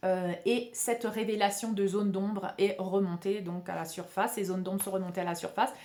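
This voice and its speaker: Speaking at a fairly quick pace with hardly any pauses, a woman keeps a medium pitch and monotone, flat intonation. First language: Spanish (speaking French). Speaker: spiritual healer and video channel host. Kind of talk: spiritual talk to camera. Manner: hesitant, many fillers and repetitions.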